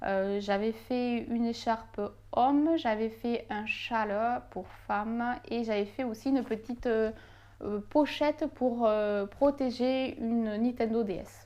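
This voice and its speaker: A fairly high-pitched woman with a slight Toulouse accent, dark, mellow tone, very slow pace and fairly even intonation. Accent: southern French (Toulouse), slight. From southern France, Toulouse. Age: 20s. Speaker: knitting YouTuber. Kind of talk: casual Q&A vlog. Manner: hesitant, many fillers.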